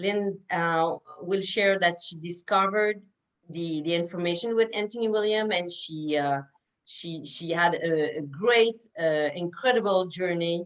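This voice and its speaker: A woman with a Quebec accent speaks fairly slowly at a fairly low pitch, with ordinary pitch variation. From Quebec, Canada. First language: French. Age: 50s. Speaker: naturopath, interviewer. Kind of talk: interview. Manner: halting.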